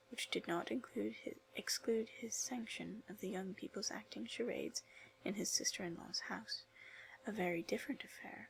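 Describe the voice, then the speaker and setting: In a whisper, someone speaks at a moderate pace with a soothing, calm tone. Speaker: ASMR video creator and literature student. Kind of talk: soft whispered audiobook-style reading for ASMR and relaxation. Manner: soft-spoken, soothing, calm.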